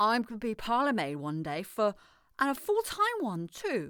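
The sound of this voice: A woman does a put-on character voice at a fairly high pitch with a bright, sharp tone. She speaks at a fairly slow pace with very wide pitch swings.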